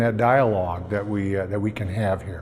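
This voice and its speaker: The voice belongs to a man. Echo from the room can be clearly heard around it. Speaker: nonprofit founder. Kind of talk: pitch presentation. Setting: stage with audience. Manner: hesitant, many fillers.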